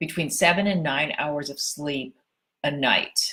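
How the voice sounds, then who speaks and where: A woman with an ordinary speaking voice talks at a fairly slow pace, using ordinary pitch variation. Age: 60s. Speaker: personal trainer and fitness writer. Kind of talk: casual tutorial to camera. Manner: conversational, informal.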